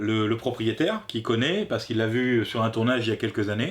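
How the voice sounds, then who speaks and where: A man is talking. He has a medium pitch. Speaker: film review youtuber. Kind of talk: casual film review chat. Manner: halting.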